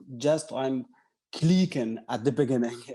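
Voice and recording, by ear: A man speaks in a dark, mellow tone with ordinary pitch variation.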